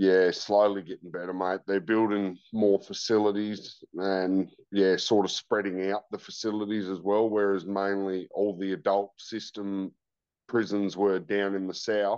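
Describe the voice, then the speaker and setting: In an Australian accent, a man speaks at a fairly low pitch and fairly slow pace with monotone, flat intonation. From Tasmania, Australia. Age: 30s. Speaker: former prisoner turned rehabilitation worker. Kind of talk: testimony.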